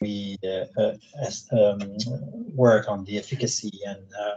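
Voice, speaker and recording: A man speaks in a Quebec accent with a fairly low pitch and a dark, mellow tone. His intonation is monotone and flat. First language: French. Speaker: psychologist and researcher. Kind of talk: lecture. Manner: halting.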